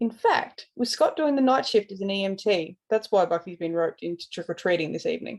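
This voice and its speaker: The speaker talks at a fairly quick pace with lively intonation. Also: woman, medium pitch for a woman. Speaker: podfic reader. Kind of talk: reading aloud; casual intro.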